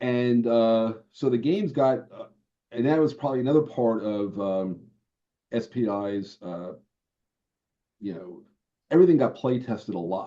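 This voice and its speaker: A man with a New York accent speaks at a moderate pace and medium pitch, his tone dark and mellow, with big swings in loudness and long, frequent pauses. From New York, Brooklyn. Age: 70s. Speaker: board game designer. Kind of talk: interview.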